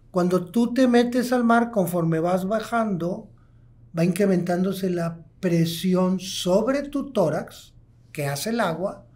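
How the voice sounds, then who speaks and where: A man's high voice at a very slow pace. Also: ordinary pitch variation. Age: 60s. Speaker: pulmonologist, hospital medical director; guest. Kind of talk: interview, expert explanation. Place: studio. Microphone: studio mic.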